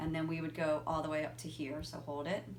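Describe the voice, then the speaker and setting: A woman is the one talking. Her voice has audible room echo around it. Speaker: physical therapist. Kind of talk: tutorial.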